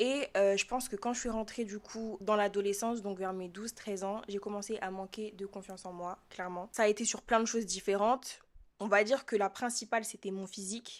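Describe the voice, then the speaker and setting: A woman's medium-pitched voice at a fairly quick pace, with big swings in loudness. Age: 20s. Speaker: student podcaster. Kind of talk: casual monologue podcast. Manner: casual, with many filler hesitations.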